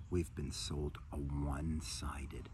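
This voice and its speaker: Light background noise sits behind a man recorded with a dry sound and no echo. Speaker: meditation or wellness teacher. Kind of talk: spiritual talk to camera. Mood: warm, enthusiastic, calm. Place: garden. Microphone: phone near.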